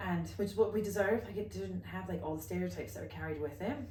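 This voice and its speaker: In an American accent, a woman talks very fast with very wide pitch swings, and room echo is audible. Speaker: co-founder of a women's wellness brand and podcast co-host. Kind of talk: casual chat.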